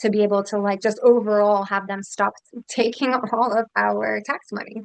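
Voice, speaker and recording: Her intonation is monotone and flat. A woman with an American accent speaks at medium pitch. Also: moderate pace. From Philadelphia, US Northeast. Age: 30s. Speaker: congressional candidate. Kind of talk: interview.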